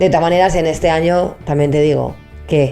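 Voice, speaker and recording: A woman's fairly low-pitched voice at a fairly quick pace, with fairly even intonation and music in the background. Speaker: comedy podcast co-host. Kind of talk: casual conversational talk show. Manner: blunt, emphatic.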